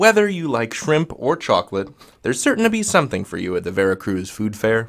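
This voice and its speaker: Playful in tone, this American accent runs at a fairly quick pace with very wide pitch swings. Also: man, medium pitch for a man. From US Midwest. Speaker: online grammar teacher. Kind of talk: tutorial. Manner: casual, playful.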